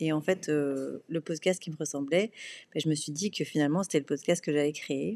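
A woman is speaking at a moderate pace. Her intonation is fairly even. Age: 30s. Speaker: podcast host, PR consultant. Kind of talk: solo podcast monologue. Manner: hesitant, many fillers and repetitions.

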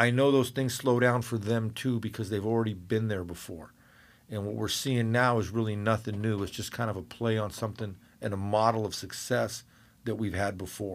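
A plain, everyday voice from a man, fairly low-pitched, at a fairly quick pace, with an American accent, on a very clean recording with a silent background. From Northern California. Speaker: boxing cut man and homicide detective. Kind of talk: casual interview chat. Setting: studio.

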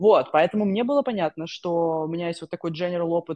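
A woman's voice against a quiet background. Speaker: tech analytics professional. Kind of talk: interview. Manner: halting.

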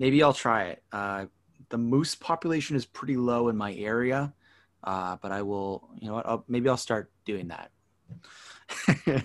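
In a Canadian accent, a plain, everyday voice speaks at a fairly slow pace with ordinary pitch variation on a very clean recording with a silent background. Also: man, medium pitch for a man. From Canada. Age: 30s. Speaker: podcast host. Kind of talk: casual chat.

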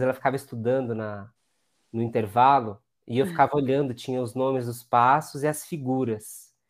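Over a very clean recording with a silent background, a normal speaking voice moves at a fairly quick pace. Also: man. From Brazil, Diadema (São Paulo ABC region). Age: 30s. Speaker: former dancer and neuroscientist. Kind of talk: interview conversation.

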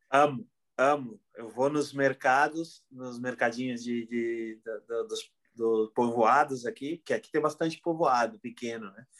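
The speaker is a man with ordinary pitch variation. He talks at a very slow pace. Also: medium pitch for a man, big swings in loudness. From southern Brazil, Porto Alegre area. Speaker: podcaster and event organizer. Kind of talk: casual chat. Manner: halting, with many repetitions.

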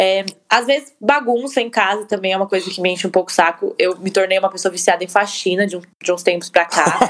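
A woman's normal speaking voice, ordinary pitch variation, fairly quick pace. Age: 20s. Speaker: podcast co-host. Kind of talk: casual chat.

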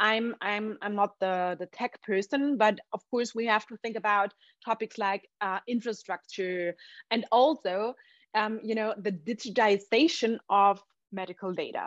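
With a German accent, a woman talks at a fairly high pitch and a fairly slow pace, her intonation fairly even, in a dry, close sound with no echo. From Austria. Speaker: entrepreneur. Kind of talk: interview.

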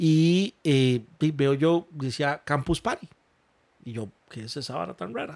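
A man's fairly high voice with lively intonation. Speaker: gaming event organizer. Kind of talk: interview storytelling. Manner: halting.

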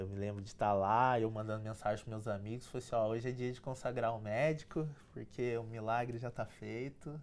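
With hardly any pauses, a man races along at a very fast pace, his medium pitch held in fairly even intonation. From Brazil, São José dos Campos (São Paulo state). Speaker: electronic engineer and entrepreneur. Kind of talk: interview, life story.

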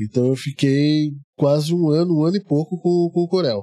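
The voice is quiet. The sound is dry and close, with no echo. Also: man. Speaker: perfumer. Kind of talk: casual interview. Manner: calm, quiet.

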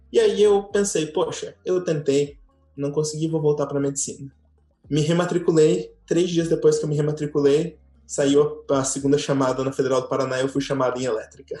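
A man with a fairly high voice talks at a moderate pace, his pitch varying in an ordinary way. Music plays behind him. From Brazil, Tocantins. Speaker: former tour guide. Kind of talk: casual chat.

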